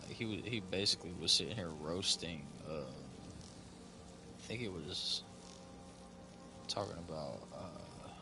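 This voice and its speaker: A man with an East Tennessee accent and a very deep, low pitch, lively intonation, big swings in loudness and a very slow pace, with music in the background and audible room echo. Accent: somewhat country, East Tennessee. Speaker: video game streamer. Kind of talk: casual live-stream chat. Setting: live stream.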